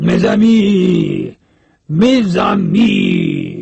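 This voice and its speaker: A man's voice climbs high in pitch. It's a put-on character voice. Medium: read story. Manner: jovial, effusive.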